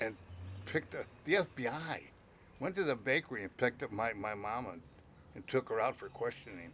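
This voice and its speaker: With a Chicago accent, a man of medium pitch talks at a fairly quick pace, swinging very widely in pitch and leaving long, frequent pauses. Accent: Chicago American English. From Chicago, Italian-American family. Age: old. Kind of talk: storytelling about his life. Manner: casual, salty, animated.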